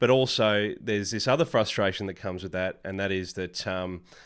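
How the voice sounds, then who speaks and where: A man with an Australian accent at a fairly quick pace and fairly low pitch, with ordinary pitch variation, on a very clean recording with a silent background. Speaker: podcaster. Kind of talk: casual vlog talk.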